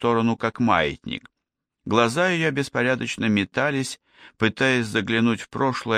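There is a natural reading voice here, with fairly even intonation over a quiet background.

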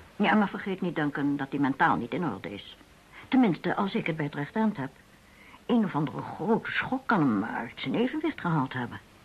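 Putting on a character voice, a woman speaks low in pitch with a slightly husky edge. Her pitch makes big swings. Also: moderate pace.

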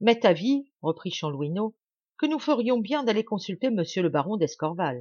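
Lively intonation carries this natural voice reading aloud. Nothing intrudes from the background.

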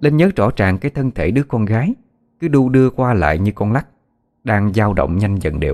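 The background stays quiet during this plain reading aloud.

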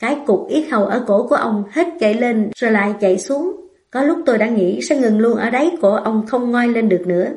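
An unforced reading voice is what you hear.

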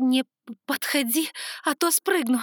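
Doing a shaky put-on character voice, a woman speaks at a moderate pace in a high pitch. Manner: trying to sound threatening but failing.

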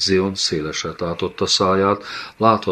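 Simple read-aloud delivery, intonation fairly even throughout

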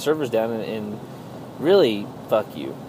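The voice moves at a moderate pace over noticeable background noise. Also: man. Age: 30s. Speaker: gaming podcaster. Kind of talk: casual solo monologue. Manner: halting, many fillers.

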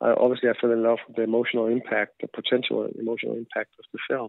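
A man with a Danish accent. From Denmark. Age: 40s. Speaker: film director. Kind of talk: interview. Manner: halting.

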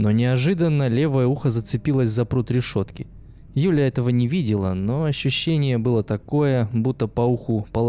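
Aloud reading in a natural voice, the pitch varying normally

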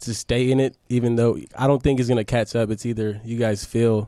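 A man's medium-pitched voice with a dark, mellow tone and fairly even intonation

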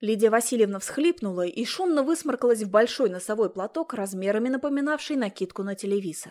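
A text is being read aloud. The voice is natural.

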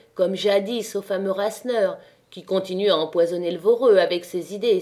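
Here someone is reading aloud in a natural voice.

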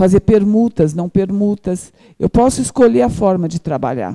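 A woman speaks fairly slowly at medium pitch, her dark, mellow tone carrying lively intonation. The sound is dry and close, with no echo. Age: 50s. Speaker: social entrepreneur. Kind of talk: audience testimony. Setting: event hall with audience.

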